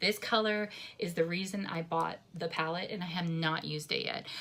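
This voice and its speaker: Over noticeable background noise, a woman speaks at a fairly low pitch with fairly even intonation. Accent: American. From New Jersey. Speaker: beauty vlogger. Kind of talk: makeup tutorial.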